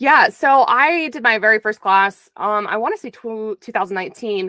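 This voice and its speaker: A woman is recorded dry with no echo against a quiet background. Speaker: interview guest. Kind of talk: interview answer. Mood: earnest, reflective. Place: home room. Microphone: studio mic.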